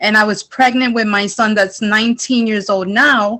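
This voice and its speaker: In a New York accent, a woman speaks with a fairly high, bright, sharp voice and ordinary pitch variation on a very clean recording with a silent background. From New York, the Bronx. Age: 40s. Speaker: culinary student. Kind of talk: emotional testimony.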